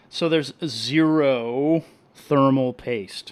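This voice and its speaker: A soft-spoken man talks in an animated tone. His pitch varies in an ordinary way. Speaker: reef hobbyist live streamer. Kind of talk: live stream chat and product review. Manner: casual, animated.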